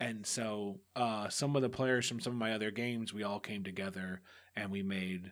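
A man with an American accent speaks at a moderate pace in an ordinary speaking voice, pitched fairly low. His intonation stays fairly even, and the recording is very clean with a silent background. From US, Mexican American family. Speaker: tabletop RPG podcast game master. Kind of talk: interview.

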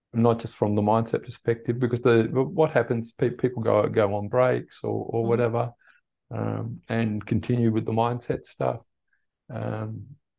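Speaking with an Australian accent, a man keeps to a moderate pace. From Tasmania, Australia (born in the Netherlands). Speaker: running and meditation coach. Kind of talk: casual interview chat. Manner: hesitant, many fillers.

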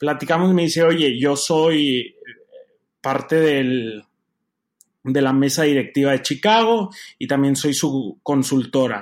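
A man with a fairly high pitch talks very slowly, with ordinary pitch variation and long, frequent pauses. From Mexico, Torreón. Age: 20s. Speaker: opera tenor. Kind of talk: interview.

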